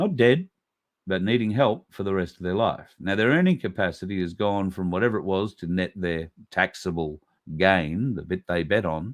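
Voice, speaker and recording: In an Australian accent, a man with a very deep, low pitch talks at a moderate pace with ordinary pitch variation. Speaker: podcast host. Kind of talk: casual monologue commentary. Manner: conversational, with many fillers.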